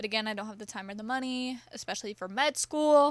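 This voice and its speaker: In a Bay Area accent, a woman talks at a moderate pace with a high pitch and an animated tone. The recording is very clean against a silent background. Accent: Californian, Bay Area. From US West Coast, California Bay Area. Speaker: podcast host. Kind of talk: casual monologue.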